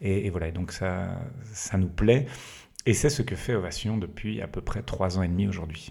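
Ordinary pitch variation marks this man's fairly low voice. He talks at a moderate pace. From Belgium, Liège region. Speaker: entrepreneur. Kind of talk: casual interview. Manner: halting.

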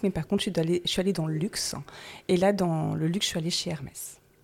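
A woman speaks at a very fast pace. Her pitch is medium, with ordinary pitch variation. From Paris, France. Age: 50s. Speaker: salt marsh worker, former cosmetics chemist. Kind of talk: interview.

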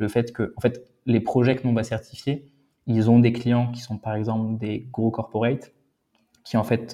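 Over a quiet background, a man speaks with a dark, mellow tone in a monotone, flat intonation. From France/Germany. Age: 30s. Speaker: startup founder and CEO. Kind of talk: interview.

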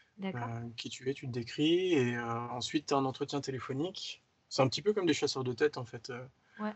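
The delivery is fairly quick and somewhat breathy, with lively intonation. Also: man, fairly high pitch for a man. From Paris region, France. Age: 30s. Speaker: motion designer. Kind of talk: casual interview.

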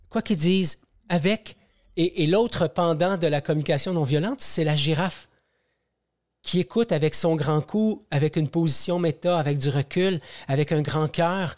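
Speaking at a moderate pace with long, frequent pauses, a man with a high voice keeps his loudness very even. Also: ordinary pitch variation, dry, close sound with no echo, very clean recording, silent background. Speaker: podcast host and personal growth movement founder. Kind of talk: interview. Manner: hesitant, many repetitions.

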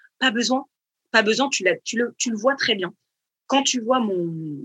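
A woman with a bright, sharp tone and lively intonation is recorded with a dry, close sound and no echo. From Paris region, France. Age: 30s. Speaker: fashion designer, brand founder. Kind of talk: casual interview. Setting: remote online recording.

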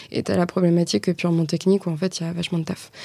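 Speaking very fast, a woman uses a fairly low pitch and a dark, mellow tone in a monotone, flat delivery. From Normandy, France. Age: 20s. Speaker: marketing agency co-founder. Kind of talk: interview.

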